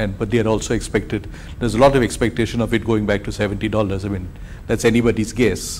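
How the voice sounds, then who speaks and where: Over noticeable background noise, a man talks at a very fast pace in a fairly low pitch with monotone, flat intonation. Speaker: corporate panelist. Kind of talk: panel discussion.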